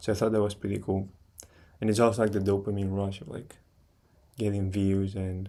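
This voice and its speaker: A man talks at a fairly quick pace with a fairly low pitch. His tone is dark and mellow. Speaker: streamer. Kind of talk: casual chat. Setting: live stream. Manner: halting.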